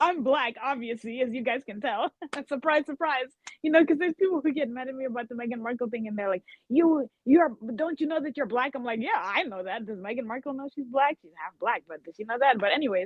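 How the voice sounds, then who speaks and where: Woman with a high pitch, lively intonation, big swings in loudness and a very fast pace. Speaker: co-host on royal commentary stream. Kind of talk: casual chat.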